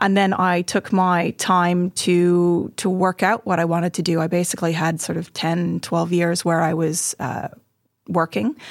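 A woman has an ordinary speaking voice, fairly low in pitch. She talks at a fairly slow pace with fairly even intonation. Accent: Canadian. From Montreal, Canada. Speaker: weaving studio owner. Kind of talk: casual interview. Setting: podcast studio.

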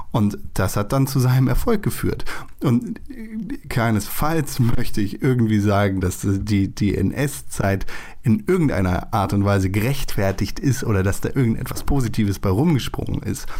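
A man speaks at medium pitch and a moderate pace, with ordinary pitch variation. His tone is dark and mellow, and his loudness stays very even. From Germany. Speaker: podcast host. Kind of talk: casual chat.

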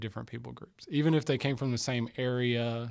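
The man has a normal speaking voice and talks at a moderate pace with a medium pitch. The recording is very clean, with a silent background. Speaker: church member, mission trip guest. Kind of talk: casual interview.

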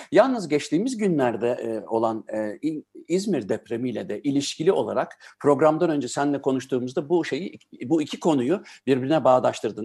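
A man talks at a moderate pace with lively intonation and a fairly high pitch. His tone is dark and mellow, over a quiet background. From Germany-born, Turkish family. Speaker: radio host. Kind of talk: casual interview.

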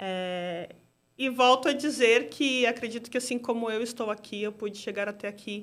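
With an unremarkable speaking voice, a woman talks at a moderate pace in a fairly high pitch with ordinary pitch variation, on a very clean recording with a silent background. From Brazil, São Paulo (Zona Norte). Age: 30s. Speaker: product owner at a bank. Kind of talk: interview conversation.

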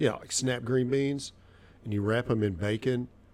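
Speaking in a Southern US accent, a man uses a medium pitch. His pace is moderate. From Arkansas. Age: 50s. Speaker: cigar shop worker. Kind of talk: casual chat.

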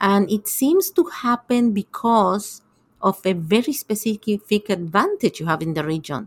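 A woman at medium pitch with an Argentine accent, somewhat breathy, fairly slow and lively in intonation, in a dry, close sound with no echo. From Argentina. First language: Spanish. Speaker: tech ecosystem investor. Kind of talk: interview. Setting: remote call.

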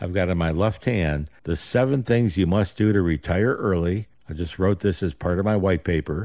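A man talks at a moderate pace, his very deep, low pitch varying in an ordinary way with a dark, mellow tone. The recording is very clean, with a silent background. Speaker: financial advisor and radio show host. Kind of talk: live radio talk show.

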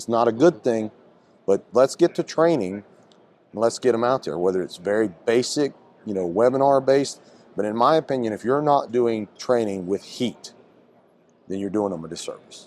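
At a moderate pace and medium pitch, a man talks with lively intonation and long, frequent pauses. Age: 40s. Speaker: fire captain and trainer. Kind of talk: interview. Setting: trade expo.

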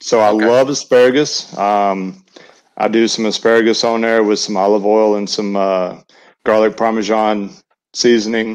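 The background is quiet as a man speaks with a Southern US accent. His intonation is monotone and flat. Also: fairly low pitch for a man, moderate pace. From US South, Alabama Gulf Coast and Western North Carolina. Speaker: barbecue caterer. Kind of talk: casual chat.

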